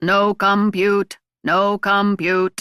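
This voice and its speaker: A raspy, robotic put-on character voice at a middle pitch, monotone with flat intonation. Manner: mechanical.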